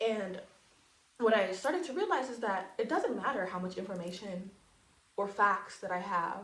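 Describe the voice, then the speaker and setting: Amid noticeable background noise and audible room echo, a woman of medium pitch speaks in an animated tone with ordinary pitch variation and long, frequent pauses. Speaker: aspiring counselor and spiritual educator. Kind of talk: monologue lecture to camera. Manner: fast.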